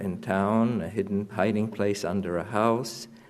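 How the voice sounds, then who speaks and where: A man talks with a fairly low pitch and flat, monotone intonation. Room echo is audible. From Poland (now western Ukraine), near Lviv. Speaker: Holocaust survivor. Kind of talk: testimony. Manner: halting, many fillers.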